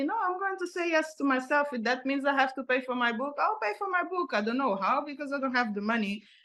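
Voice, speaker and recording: Speaking at a high pitch, a woman talks with a non-native accent. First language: not English. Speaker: author and motivational speaker. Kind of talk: interview. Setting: podcast interview. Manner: halting, frequent repetitions.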